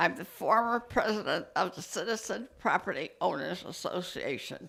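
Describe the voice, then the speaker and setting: On a very clean recording with a silent background, a woman speaks at a medium pitch with vocal fry and lively intonation. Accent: American. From New Britain, Connecticut. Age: 90s. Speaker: public commenter, former civic association president. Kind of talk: public comment at council meeting.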